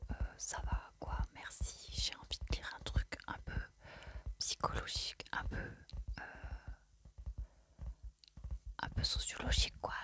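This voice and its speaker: Whispering in a calm tone, with long, frequent pauses. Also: woman. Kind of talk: ASMR whispered book haul, casual talk to camera. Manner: whispered, soft-spoken, calm.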